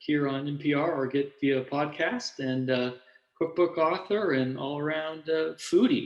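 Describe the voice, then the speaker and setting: A man speaks at a fairly slow pace in an unremarkable speaking voice, his pitch fairly high. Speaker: interviewer. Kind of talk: interview questions.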